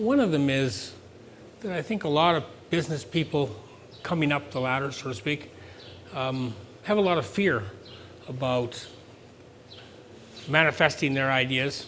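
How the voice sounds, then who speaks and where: Speaking with a Canadian accent, a man keeps a moderate pace at a fairly high pitch with ordinary pitch variation. His pauses are long and frequent. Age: 60s. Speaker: farm business owner. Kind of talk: speech to an audience. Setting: event with live audience. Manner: conversational, with fillers.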